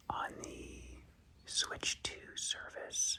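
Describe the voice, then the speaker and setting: Someone whispers at a very slow pace. Noticeable background noise sits underneath. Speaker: ASMR content creator. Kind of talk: ASMR show and tell guide flip-through. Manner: whispered.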